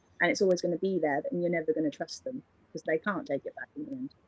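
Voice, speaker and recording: A woman with a British accent and a medium pitch, recorded dry and close with no echo. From England. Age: 20s. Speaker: singer-songwriter. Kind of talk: interview answer. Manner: casual, chatty.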